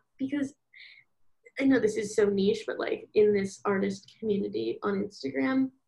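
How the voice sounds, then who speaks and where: A woman with an American accent speaks at a moderate pace in a fairly high, somewhat breathy voice with a dark, mellow tone and ordinary pitch variation. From US Northeast, Philadelphia. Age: 20s. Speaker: college student and small-business artist. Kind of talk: casual interview chat.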